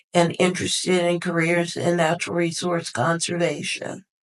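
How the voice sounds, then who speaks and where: Speaking at a fairly slow pace, a woman has an unremarkable speaking voice with fairly low pitch. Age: 60s. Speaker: retired forester and youth mentor. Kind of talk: interview.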